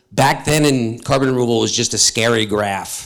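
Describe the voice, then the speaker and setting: A man speaks with a New York accent at a medium pitch. His intonation is fairly even and his pace moderate. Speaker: panel moderator. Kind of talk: panel discussion. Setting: stage with audience.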